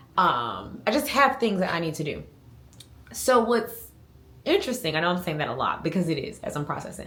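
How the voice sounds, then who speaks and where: In a room with audible echo, a woman speaks fairly quickly at a fairly low pitch with very wide pitch swings. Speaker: lifestyle vlogger. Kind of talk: casual vlog monologue. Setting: at home.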